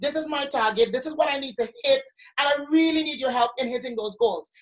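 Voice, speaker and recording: Pitched high, a woman talks at a fairly quick pace with ordinary pitch variation. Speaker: sales trainer. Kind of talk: live training. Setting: live stream. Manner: fast.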